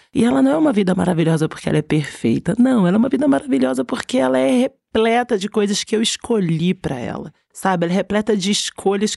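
A woman with a medium pitch talks at a very fast pace with hardly any pauses, her tone dark and mellow. Her pitch swings very widely, and the sound is dry and close with no echo. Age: 40s. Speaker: creative director. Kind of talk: casual interview chat.

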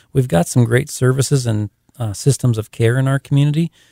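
A man's dark, mellow voice, somewhat breathy, at a fairly quick pace with fairly even intonation, in a dry, close sound with no echo on a very clean recording with a silent background. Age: 30s. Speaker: city council candidate and pastor. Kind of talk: radio interview. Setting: radio studio.

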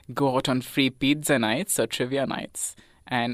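The speech moves at a moderate pace. Music plays in the background. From India, Chennai. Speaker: university student. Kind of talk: casual interview. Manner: hesitant, many filler sounds.

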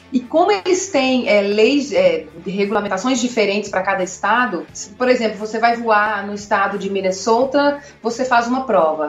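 Music plays in the background as a woman talks at a moderate pace in a fairly high pitch with lively intonation. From Minas Gerais, Brazil (Contagem). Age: 30s. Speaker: agricultural pilot. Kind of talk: interview.

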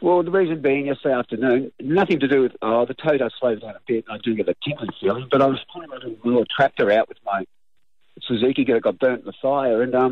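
Speaking fairly quickly, this man talks with an Australian accent. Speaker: caller, rural landholder. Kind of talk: casual phone chat. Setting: phone call outdoors. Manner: fast.

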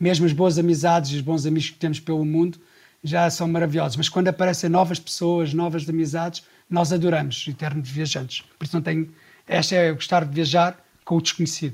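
A man talks at a high pitch. His intonation is monotone and flat. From Portugal, Sintra area. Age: 40s. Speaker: travel leader. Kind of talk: casual interview.

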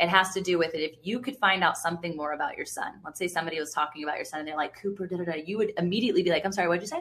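A woman speaks very fast in an American accent, her tone bright and sharp. She sounds animated throughout. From Virginia Beach, US. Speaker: podcast host. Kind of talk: interview conversation.

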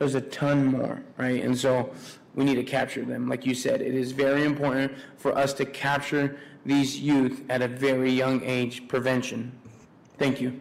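A man talks at a moderate pace in a medium-pitched voice. His intonation stays monotone and flat. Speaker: city commissioner. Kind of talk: public meeting discussion.

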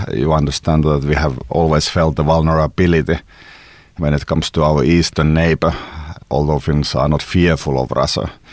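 His pitch is very deep and low, with vocal fry and monotone, flat intonation. The man keeps a moderate pace and a very even loudness. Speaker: Finnish presidential candidate and security analyst. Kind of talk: interview.

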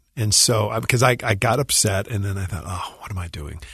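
A man with an ordinary speaking voice, fairly low in pitch with ordinary pitch variation, at a fairly quick pace against a quiet background. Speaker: musician and composer. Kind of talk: radio interview. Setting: radio studio.

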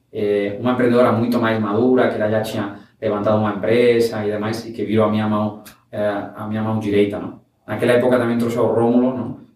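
A man with a Spanish accent and fairly low pitch speaks at a very fast pace in a monotone, flat intonation, with audible room echo. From Spain (Valencia, raised in Barcelona). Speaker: startup founder. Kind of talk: interview. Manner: halting, mixes Spanish and Portuguese.

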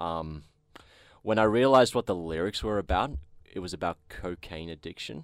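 A man with an Australian accent speaks at a moderate pace in a very deep, low pitch, leaving long, frequent pauses, with big swings in loudness on a very clean recording with a silent background. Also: lively intonation. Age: 20s. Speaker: metal bassist. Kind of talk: casual chat. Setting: studio.

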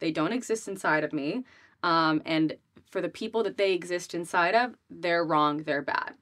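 A woman's normal speaking voice with an American accent, fairly low in pitch, at a moderate pace with ordinary pitch variation, on a very clean recording with a silent background. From Rhode Island, US. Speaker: business coach and influencer. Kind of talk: casual interview.

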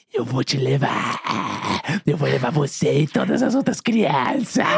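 At a moderate pace, the man performs a put-on character voice pitched fairly high. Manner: menacing.

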